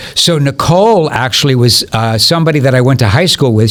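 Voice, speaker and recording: A man speaks at a very fast pace with ordinary pitch variation. Noticeable background noise runs underneath. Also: very even loudness. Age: 60s. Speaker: music promoter and former DJ. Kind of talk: podcast interview. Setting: studio.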